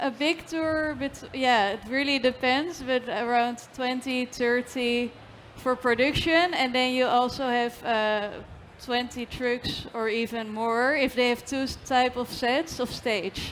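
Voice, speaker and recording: A woman speaks at a fairly slow pace with a high pitch and fairly even intonation. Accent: Dutch. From Netherlands. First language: Dutch. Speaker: trucking and logistics company representative. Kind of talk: panel discussion. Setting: stage with audience at industry congress.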